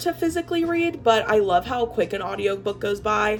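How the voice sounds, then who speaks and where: A woman's voice with very wide pitch swings over music in the background. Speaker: vlogger, social media lead. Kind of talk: casual vlog talk.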